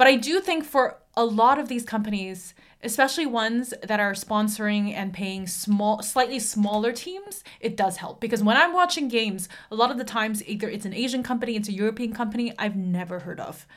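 Her voice is a plain, everyday voice, fairly high for a woman, with ordinary pitch variation. She moves at a fairly quick pace with hardly any pauses. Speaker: podcast host. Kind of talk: casual banter.

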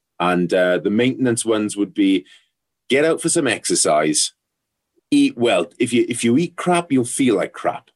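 A man with a Welsh accent speaks at a moderate pace. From Wales, South Wales valleys. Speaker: ex rugby player, psychotherapist. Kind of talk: casual interview. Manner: halting, many fillers and repetitions.

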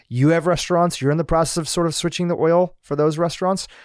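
Very fast and fairly high in pitch, a man speaks in a very clean recording with a silent background. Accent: American. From US, Gujarati family from Kenya. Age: 40s. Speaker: podcast host. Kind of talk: interview.

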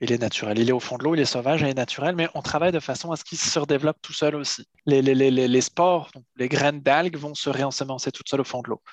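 A man's plain, everyday voice, fairly high in pitch with ordinary pitch variation, in a dry, close sound with no echo. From France, Paris region and Brittany. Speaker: seaweed harvester and entrepreneur. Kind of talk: interview.

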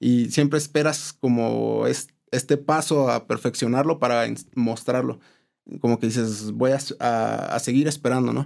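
The man's pitch is medium. He speaks fairly slowly. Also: fairly even intonation. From Mexico, raised in Morelia, Michoacán. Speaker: architect. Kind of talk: interview. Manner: halting, many repetitions.

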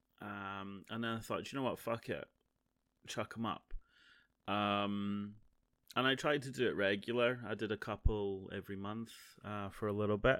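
Pausing long and often, a man with a Scottish accent speaks at a fairly low pitch with fairly even intonation. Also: moderate pace. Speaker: podcaster and streamer. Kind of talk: casual solo monologue. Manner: halting, many fillers.

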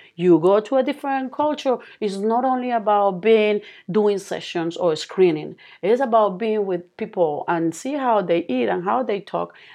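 A woman with a Colombian accent speaks at medium pitch and a moderate pace, her intonation lively. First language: Spanish. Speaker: speech therapist, founder of therapy company. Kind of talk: interview. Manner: halting.

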